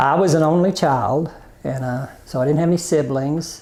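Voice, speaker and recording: Ordinary pitch variation in an Arkansas accent. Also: man. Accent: Southern US (Arkansas). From US South, Arkansas (Prairie Grove). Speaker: interviewee, family telephone business. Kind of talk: oral history interview. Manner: hesitant, many fillers.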